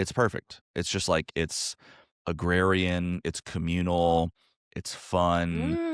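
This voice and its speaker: In an American accent, a man talks at a very slow pace with a very deep, low pitch and monotone, flat intonation. The sound is dry and close with no echo, and the recording is very clean over a silent background. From US South, North Carolina. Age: 30s. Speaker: comedian. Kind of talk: casual chat.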